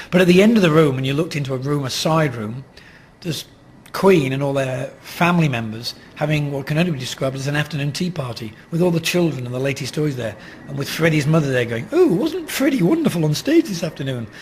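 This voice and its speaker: Noticeable background noise sits behind a man talking very fast. His fairly high voice shows ordinary pitch variation. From Australia. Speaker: rock photographer. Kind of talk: interview anecdote.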